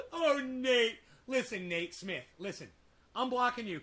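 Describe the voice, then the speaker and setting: A man projects a raised voice in a bright, sharp tone at a moderate pace. His delivery is animated, with lively intonation. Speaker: livestreamer. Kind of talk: casual livestream chat. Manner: loud.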